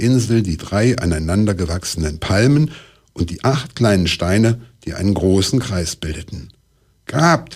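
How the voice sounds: Lively intonation within a natural reading voice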